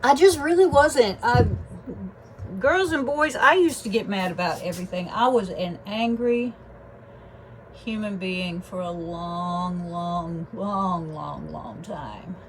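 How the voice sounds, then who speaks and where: Speaking at a very slow pace, a woman uses lively intonation and big swings in loudness. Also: medium pitch for a woman. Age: 60s. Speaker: fluid artist. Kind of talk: casual tutorial narration. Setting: home art studio. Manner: casual, chatty.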